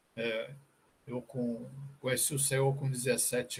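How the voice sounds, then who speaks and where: A somewhat breathy quality marks this man's fairly high voice. He keeps a moderate pace. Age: 60s. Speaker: church member. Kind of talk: testimony.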